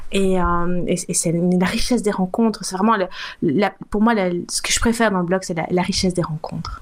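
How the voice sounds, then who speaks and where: A woman speaks at a fairly quick pace in an ordinary speaking voice. Her pitch is medium and her intonation is fairly even. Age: 50s. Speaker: food blogger. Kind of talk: casual interview.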